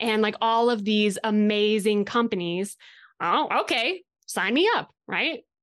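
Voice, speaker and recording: A woman speaks with an American accent at a fairly high pitch. The background is quiet. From Colorado, US. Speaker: equine industry company director. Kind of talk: casual interview chat.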